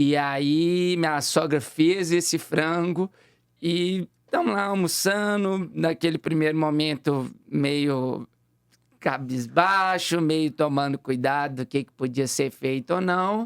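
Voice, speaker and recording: A fairly high-pitched man with a Minas Gerais accent speaks at a very slow pace, with ordinary pitch variation and big swings in loudness. The sound is dry and close with no echo, on a very clean recording with a silent background. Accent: Minas Gerais (mineiro) Brazilian Portuguese. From Minas Gerais, Brazil. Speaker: fitness trainer. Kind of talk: casual chat.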